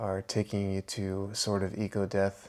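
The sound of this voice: This is an unforced reading voice. It is the whole of the clip.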